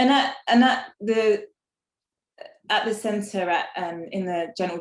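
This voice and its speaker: Speaking at a fairly slow pace with an English accent, a woman uses a fairly high pitch and ordinary pitch variation. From England. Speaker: inequality and exclusion researcher. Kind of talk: panel talk. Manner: hesitant, many fillers.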